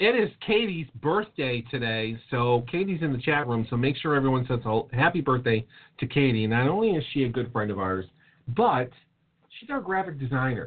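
This man has an unremarkable speaking voice. He moves at a moderate pace with lively intonation. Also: medium pitch for a man. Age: 30s. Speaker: podcast co-host. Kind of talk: casual chat.

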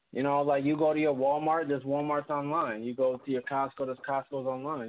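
A man's unremarkable speaking voice, fairly high in pitch, at a fairly quick pace. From Puerto Rican heritage, US. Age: 20s. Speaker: former rapper turned businessman. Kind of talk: casual interview. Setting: phone call.

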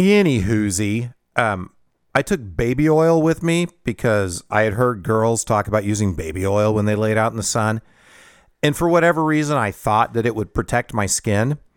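In an ordinary speaking voice, a man talks at a moderate pace and medium pitch with lively intonation. His loudness stays very even, and the sound is dry and close with no echo. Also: very clean recording, silent background. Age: 50s. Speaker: podcast host. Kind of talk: personal storytelling monologue. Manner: casual, self-deprecating with filler words.

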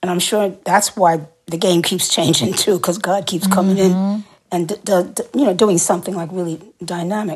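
A woman with an unremarkable speaking voice talks at a fairly quick pace. Her pitch is medium and her intonation fairly even. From New York City. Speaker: singer and actor. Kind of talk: interview.

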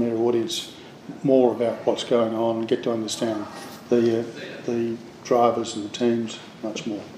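A man with an Australian accent speaks at a medium pitch and a moderate pace in a monotone, flat way, with noticeable background noise. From Australia, Adelaide. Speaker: television producer. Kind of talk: interview.

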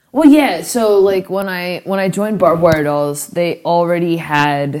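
With an American accent, a woman speaks in a dark, mellow tone at a fairly low pitch with ordinary pitch variation. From Florida, St. Petersburg. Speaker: punk rock musician. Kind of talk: casual chat. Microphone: poor recording quality.

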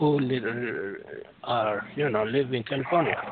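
This man speaks with fairly even intonation and a strong non-native accent. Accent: strong foreign. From Europe, France. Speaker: caller. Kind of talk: call-in discussion. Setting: phone call.

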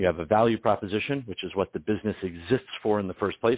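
A man speaks in a plain, everyday voice with an American accent. His pitch varies in an ordinary way. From Detroit, US Midwest. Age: 40s. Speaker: business consultant. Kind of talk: interview.

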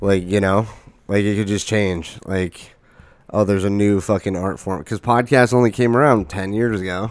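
A man speaks in an ordinary speaking voice at a fairly low pitch. His pace is moderate and his intonation fairly even. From Arizona. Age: 20s. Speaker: podcast host. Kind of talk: casual chat.

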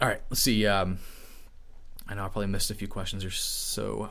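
A man's voice is heard with audible room echo around it. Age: 20s. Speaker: IT educator and streamer. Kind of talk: live stream chat. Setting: live stream. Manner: casual, animated.

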